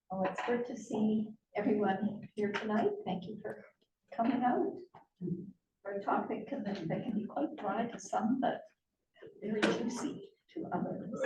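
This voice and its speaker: In a room with audible echo, a woman with a fairly high voice speaks at a fairly slow pace, pausing long and often. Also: ordinary pitch variation. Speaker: biologist and conservation board member. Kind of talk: public lecture. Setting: public talk with live audience. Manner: naturally soft, not a projector. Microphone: too quiet for the room.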